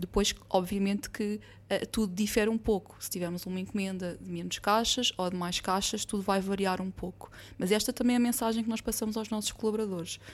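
A woman with an ordinary speaking voice, medium in pitch, at a fairly quick pace with fairly even intonation. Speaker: logistics warehouse director. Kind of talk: corporate podcast discussion.

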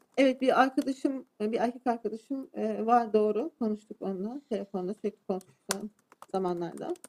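In a Turkish accent, a woman talks at a fairly quick pace and a fairly high pitch. Her pitch variation is ordinary, and the sound is dry and close with no echo. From Turkey. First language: Turkish (speaking Swedish). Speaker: defendant. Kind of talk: court testimony. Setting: courtroom.

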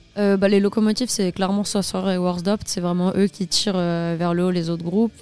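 With hardly any pauses, a woman talks fairly quickly in a medium pitch, her tone dark and mellow and her intonation monotone and flat. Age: 20s. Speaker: filmmaker. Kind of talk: interview. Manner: hesitant, many fillers.

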